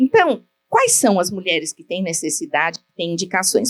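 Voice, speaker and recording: At a moderate pace, a woman talks at medium pitch in a normal speaking voice. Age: 60s. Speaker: gynecologist. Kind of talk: lecture.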